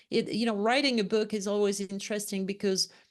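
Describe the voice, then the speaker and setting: A woman speaks very fast with a French accent. Her pitch is medium and her intonation fairly even. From France, Lyon. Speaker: leadership consultant and author. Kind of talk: interview.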